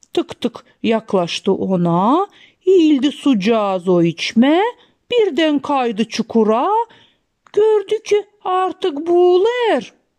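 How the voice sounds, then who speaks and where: A woman's high voice at a very slow pace, with very wide pitch swings, very even loudness and a dry, close sound with no echo. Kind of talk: rhythmic folk tale narration. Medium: read story.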